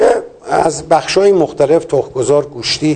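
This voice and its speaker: A man's fairly high voice with fairly even intonation, over noticeable background noise. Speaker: poultry industry veteran and agricultural engineer. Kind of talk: interview.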